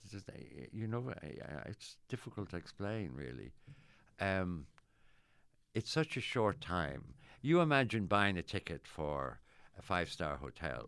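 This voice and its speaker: On a very clean recording with a silent background, a man speaks at a moderate pace in an Irish accent. His voice has vocal fry and very wide pitch swings. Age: 70s. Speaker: actor. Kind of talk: casual chat. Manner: halting.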